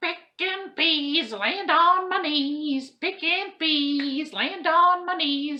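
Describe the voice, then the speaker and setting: In a put-on character voice, a woman speaks very slowly at an extremely high pitch. She hardly pauses at all. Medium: read story. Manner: sly, sing-song.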